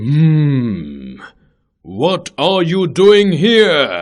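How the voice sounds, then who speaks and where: Using a put-on character voice, a man pitches his speech fairly high. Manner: shouting.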